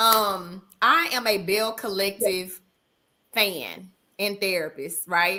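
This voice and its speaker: Speaking at a very slow pace, a woman with a Texan accent uses a medium pitch and ordinary pitch variation. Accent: Texas Southern. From Texas. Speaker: therapist and reality show fan. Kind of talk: casual livestream chat. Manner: animated.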